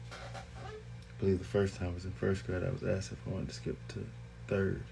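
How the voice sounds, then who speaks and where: A man mumbles with lively intonation. Room echo is audible and music plays in the background. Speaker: vlogger. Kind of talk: casual monologue. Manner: mumbling.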